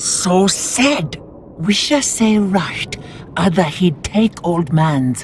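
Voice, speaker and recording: With clear background noise behind it, a put-on character voice at middle pitch moves at a very slow pace. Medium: machinima. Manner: broken grammar, simple words.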